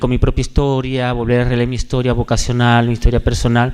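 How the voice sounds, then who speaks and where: The recording is very clean, with a silent background. A man speaks with a Maracaibo accent. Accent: Venezuelan (Maracucho) Spanish. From Venezuela, Maracaibo (Zulia). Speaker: religious brother, hospital chaplain. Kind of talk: testimony. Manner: halting, many fillers.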